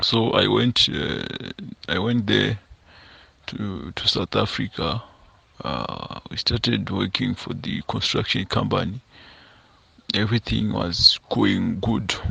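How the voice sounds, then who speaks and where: The speaker, in a Zimbabwean accent, talks at a very slow pace with long, frequent pauses. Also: man. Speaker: confession sender, construction worker. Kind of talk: first-person confession. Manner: halting, many repetitions and fillers.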